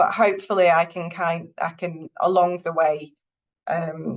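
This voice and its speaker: In a Northern English accent, a woman speaks with a fairly low pitch. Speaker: university lecturer, counselling psychologist. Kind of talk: lecture.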